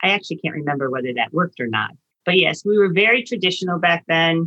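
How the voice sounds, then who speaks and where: An unremarkable speaking voice from a woman, fairly low-pitched, with ordinary pitch variation. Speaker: retired dietitian and grandmother. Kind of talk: casual chat.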